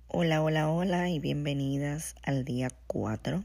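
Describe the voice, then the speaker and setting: A woman speaks at a very slow pace. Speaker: podcast host. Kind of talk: devotional talk.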